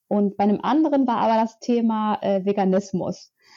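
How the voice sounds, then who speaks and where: A woman with a medium pitch and dark, mellow tone, fairly slow and fairly even in intonation, against a quiet background. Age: 20s. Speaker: author and climate activist. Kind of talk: interview. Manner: hesitant, many filler sounds.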